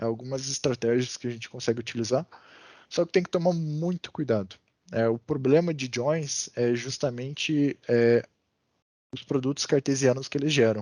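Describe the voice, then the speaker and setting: In a dry, close sound with no echo and a quiet background, a man speaks at a moderate pace in a medium pitch with a dark, mellow tone. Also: ordinary pitch variation. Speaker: data analysis instructor. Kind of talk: online class lecture. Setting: video call. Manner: many filler hesitations.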